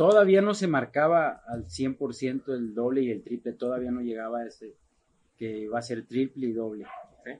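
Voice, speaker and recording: Using a plain, everyday voice, a man at a medium pitch speaks at a moderate pace with lively intonation and big swings in loudness. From Mexico, Guadalajara, Jalisco. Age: 40s. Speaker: charro rider. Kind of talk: casual interview.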